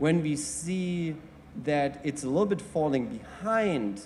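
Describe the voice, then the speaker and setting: A man with a German accent speaks at a fairly high pitch with lively intonation. There is noticeable background noise. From Germany. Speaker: mobility industry panelist. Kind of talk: panel presentation. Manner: halting.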